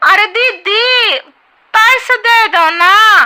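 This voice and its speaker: Squeaky, extremely high-pitched put-on character voice from a woman. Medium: cartoon. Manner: roundabout, riddling.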